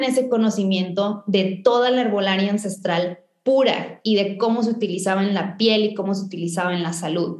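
This woman has an unremarkable speaking voice at medium pitch, with ordinary pitch variation and a moderate pace. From Mexico, northern Tamaulipas. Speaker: chemical engineer and entrepreneur. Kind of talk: interview.

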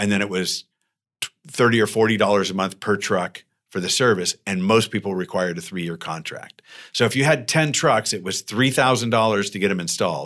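A man with an American accent and a normal speaking voice, fairly low in pitch with ordinary pitch variation, at a fairly quick pace. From Arizona, Tucson. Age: 50s. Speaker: serial entrepreneur. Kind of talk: interview. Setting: co-working space.

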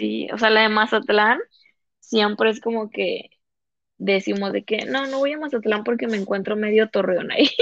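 This woman, with a Comarca Lagunera accent, has a fairly high pitch, ordinary pitch variation and a moderate pace. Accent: Laguna sing-song Mexican Spanish. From Lerdo, Durango (Comarca Lagunera), Mexico. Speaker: podcast guest. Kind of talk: casual chat.

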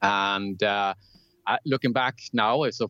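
A man's fairly low voice at a fairly slow pace, with a dry, close sound, no echo, and a quiet background. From southern Sweden (Lund). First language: Swedish. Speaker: telecom technology executive. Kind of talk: interview.

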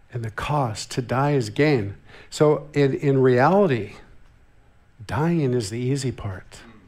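A man's medium-pitched voice with an American accent, very slow with long, frequent pauses, ordinary pitch variation and audible room echo. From US West Coast, Santa Barbara, California. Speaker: visiting church minister. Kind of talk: sermon. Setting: church.

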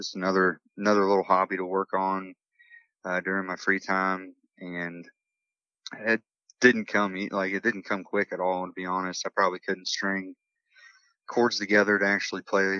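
This man has a very deep, low voice and an Appalachian accent. He talks at a moderate pace with monotone, flat intonation and long, frequent pauses. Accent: Appalachian American. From Morgantown, West Virginia. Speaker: singer-songwriter. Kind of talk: interview.

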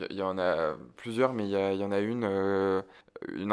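In a monotone with flat intonation, a man speaks at a fairly low pitch. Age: 20s. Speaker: film journalist. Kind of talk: interview. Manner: halting, many repetitions and fillers.

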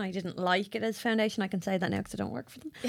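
The speaker has an Irish accent and ordinary pitch variation. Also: woman. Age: 20s. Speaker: podcast host and makeup artist. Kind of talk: casual chat.

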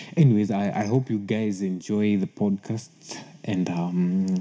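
With an East African accent, a man speaks at a moderate pace and a fairly low pitch, his tone dark and mellow, against a quiet background. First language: Swahili. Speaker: podcast host. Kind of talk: casual solo podcast talk. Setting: solo recording. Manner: halting, many fillers and repeats.

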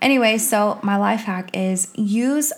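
Somewhat breathy, a woman speaks at a fairly high pitch with ordinary pitch variation in a very clean recording with a silent background. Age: 30s. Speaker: podcast co-host, teacher and coach. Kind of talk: casual chat. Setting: home recording.

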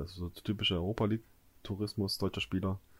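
Talking at a very fast pace, a man delivers his words in a monotone, flat intonation at a fairly low pitch. His voice is somewhat breathy, and the recording is very clean with a silent background. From Görlitz, eastern Saxony. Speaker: football podcast co-host. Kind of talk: casual chat.

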